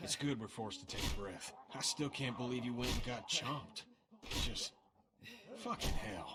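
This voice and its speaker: A man puts on a gruff character voice at medium pitch. He speaks at a moderate pace with long, frequent pauses. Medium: video game. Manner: gruff, profane.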